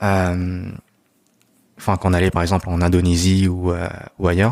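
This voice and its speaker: A man speaks at a moderate pace in a very deep, low voice, his loudness very even. His intonation is monotone and flat, and the recording is very clean with a silent background. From Belgium, Brussels. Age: 30s. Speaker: podcast guest. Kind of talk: casual chat. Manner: hesitant, many fillers.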